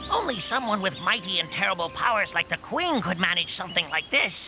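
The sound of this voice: A man puts on a cartoonish character voice at a high pitch. He talks at a fairly quick pace over clear background noise.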